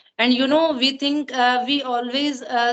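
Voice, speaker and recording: A woman's high-pitched voice, fairly quick, with monotone, flat intonation. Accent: Punjabi. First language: Punjabi. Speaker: English learner. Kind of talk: casual chat. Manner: halting.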